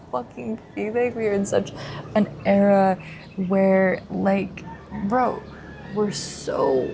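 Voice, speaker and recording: A woman's very slow speech at a medium pitch with noticeable background noise. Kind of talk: casual diary-style talk to camera. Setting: outdoors by the ocean. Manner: hesitant, with pauses and stutters; rambling stream of consciousness.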